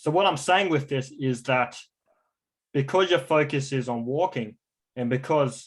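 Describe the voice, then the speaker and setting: A man speaks fairly slowly with an Australian accent. His pitch sits in the medium range. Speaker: stroke recovery coach. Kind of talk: online class.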